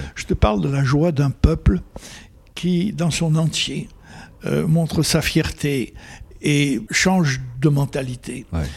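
A man speaks very slowly, with long, frequent pauses and a somewhat breathy sound. His pitch sits fairly high and moves with ordinary variation. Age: 80s+. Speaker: photojournalist. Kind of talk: interview.

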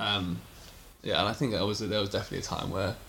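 Audible room echo surrounds a man's voice. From England. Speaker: friend of the host. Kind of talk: casual chat.

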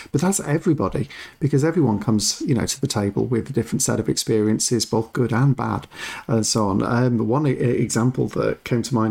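Talking very fast with an English accent, a man uses a medium pitch, lively intonation and vocal fry, his dark, mellow tone held at very even loudness. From England. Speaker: board game podcast co-host. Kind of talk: casual chat.

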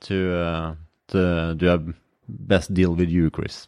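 On a very clean recording with a silent background, a man speaks at a fairly slow pace in a very deep, low voice. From Norway. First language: Norwegian. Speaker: podcast host, mental trainer. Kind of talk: casual interview.

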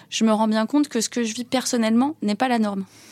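A woman's fairly high voice, a plain, everyday voice, at a fairly quick pace, with a dry, close sound and no echo. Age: 40s. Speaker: business executive. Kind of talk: interview.

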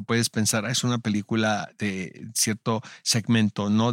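A man with a plain, everyday voice speaks at a medium pitch with fairly even intonation. The recording is very clean with a silent background and a dry, close sound with no echo. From Mexico, Tijuana. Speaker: podcast host. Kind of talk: casual interview chat.

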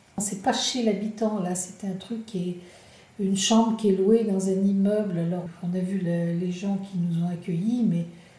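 With audible room echo, a woman speaks at a moderate pace and medium pitch in a dark, mellow, somewhat breathy tone with fairly even intonation. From France, La Rochelle. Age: 60s. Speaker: retiree traveller. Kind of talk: interview testimony.

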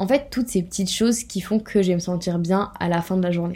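A woman's dark, mellow voice at medium pitch, moderate in pace, with fairly even intonation. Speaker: podcast host. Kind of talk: casual monologue.

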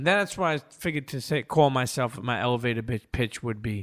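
At a fairly quick pace, a man speaks at medium pitch with ordinary variation on a very clean recording with a silent background. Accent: New York. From New York, Brooklyn (Coney Island). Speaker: podcast host and producer. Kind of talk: casual interview chat. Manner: animated, halting with repetitions.

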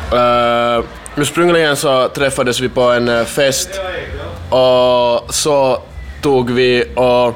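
Amid noticeable background noise and audible room echo, a man talks at a very slow pace in a medium pitch with fairly even intonation. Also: very even loudness. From Finland (Kokkola area, Swedish-speaking Ostrobothnia). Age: 20s. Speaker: booking agent and event organizer. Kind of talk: casual interview. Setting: backstage at a festival.

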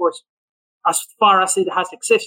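In a Spanish accent, a man uses a raised, projected voice with a bright, sharp tone. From Venezuela. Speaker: economist. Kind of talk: podcast interview.

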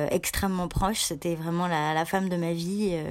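Her voice sits at a medium pitch. This woman's intonation is fairly even. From France, Annecy (Rhône-Alpes). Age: 30s. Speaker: journalist and magazine founder. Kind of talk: interview. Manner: halting, many repetitions and fillers.

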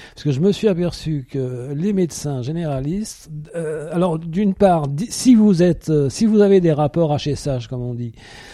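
A man with a fairly high pitch speaks at a fairly slow pace, his intonation lively. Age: 60s. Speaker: retiree. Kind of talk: interview. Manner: halting.

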